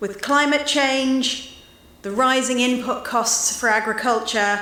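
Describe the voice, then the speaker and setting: Noticeable background noise and audible room echo around a woman with a British accent, ordinary pitch variation and a fairly slow pace. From UK. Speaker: association president. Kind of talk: speech. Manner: some hesitations.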